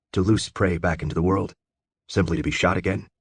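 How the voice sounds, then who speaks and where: A man puts on a growling character voice, very deep and low in pitch, delivered at a very fast pace. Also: ordinary pitch variation. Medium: read story. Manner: cold, clipped.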